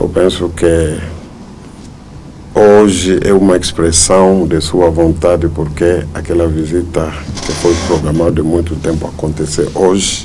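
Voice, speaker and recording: A man with a non-native accent speaks at a very slow pace in a very deep, low pitch and monotone, flat intonation, with audible room echo and noticeable background noise. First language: not Portuguese (speaking Portuguese). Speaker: church leader. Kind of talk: press interview. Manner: halting, with fillers.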